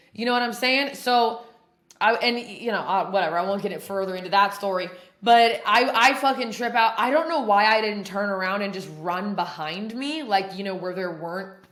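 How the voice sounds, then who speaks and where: A woman's animated voice at a fairly quick pace, with audible room echo. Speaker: podcast host in addiction recovery. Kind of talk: casual chat, recovery testimony. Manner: loud; animated, heavy swearing slang.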